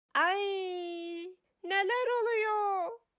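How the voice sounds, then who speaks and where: This is a put-on character voice. It is squeaky and extremely high. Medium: read story. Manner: gruff, demanding.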